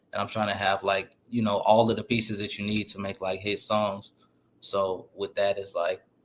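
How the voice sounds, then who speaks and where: A man with an American accent speaks at a moderate pace in a fairly low voice. His intonation is monotone and flat. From Portland, Oregon. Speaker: rapper. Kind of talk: interview.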